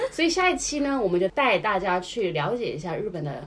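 A woman with a Hunan accent, an animated tone, very wide pitch swings and audible room echo. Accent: Hunan-accented Mandarin. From China, Hunan. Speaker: podcast co-host. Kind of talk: casual chat. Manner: animated, laughing often.

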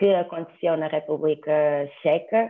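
A woman with a fairly low pitch uses an ordinary speaking voice at a moderate pace, keeping her intonation fairly even. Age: 20s. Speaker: law student. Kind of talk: casual chat.

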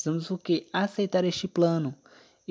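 A man speaks at a moderate pace with fairly even intonation and a dark, mellow tone. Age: 20s. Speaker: Adventist devotional podcaster. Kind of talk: devotional Bible talk. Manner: halting, many fillers.

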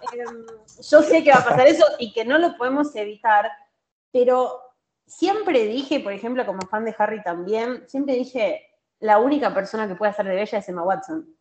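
With lively intonation and a high pitch, a woman speaks at a moderate pace in a Rioplatense accent. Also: big swings in loudness. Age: 30s. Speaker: social media content creator. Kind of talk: casual chat.

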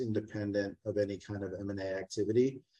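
With an American accent, a man speaks in a fairly low pitch and a monotone, flat intonation. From Texas, San Antonio. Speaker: brewery executive. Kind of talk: interview.

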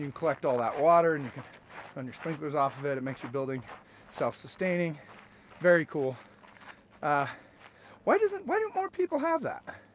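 A man talks at a fairly quick pace with long, frequent pauses and big swings in loudness, over noticeable background noise. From rural Utah. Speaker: realtor and running podcast host. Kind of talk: casual chat on a trail run. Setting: outdoors on a trail. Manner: out of breath while running.

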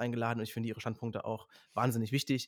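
Very fast, monotone speech from a man at a medium pitch, flat in intonation. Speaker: author and social media creator. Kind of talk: casual chat.

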